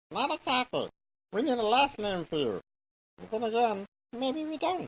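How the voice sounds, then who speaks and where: Someone performs a put-on character voice at a fairly high pitch and a moderate pace. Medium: machinima. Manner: chatty, self-satisfied.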